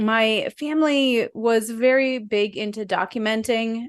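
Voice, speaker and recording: Against a quiet background, a woman with a New Jersey accent speaks at a fairly high pitch. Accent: New Jersey American. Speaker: videographer and photographer. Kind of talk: interview. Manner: articulate.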